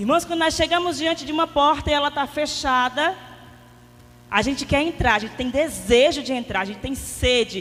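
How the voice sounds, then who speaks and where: High-pitched and fairly quick, a woman speaks with ordinary pitch variation. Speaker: lay preacher at a prayer group. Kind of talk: sermon. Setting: prayer meeting with audience, microphone. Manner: soft-spoken.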